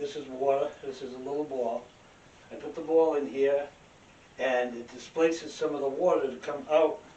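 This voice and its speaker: Over noticeable background noise and audible room echo, a man with a fairly high pitch talks at a moderate pace with ordinary pitch variation. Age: 70s. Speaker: independent researcher. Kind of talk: demonstration lecture. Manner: casual, halting.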